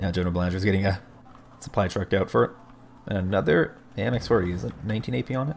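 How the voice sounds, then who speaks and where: Noticeable background noise surrounds a man talking at a very fast pace. His voice is very deep and low, with lively intonation. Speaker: game caster. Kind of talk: live commentary. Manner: animated.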